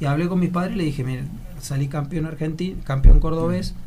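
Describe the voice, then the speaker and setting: A man speaks at a very fast pace, his pitch fairly high with ordinary variation. Audible room echo and noticeable background noise fill the recording. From Argentina, Córdoba province (Laguna Larga). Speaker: actor and model. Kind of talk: casual interview.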